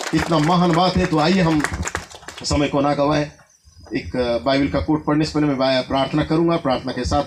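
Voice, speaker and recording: A man talks at a moderate pace with ordinary pitch variation amid noticeable background noise. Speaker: preacher. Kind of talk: sermon. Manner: halting.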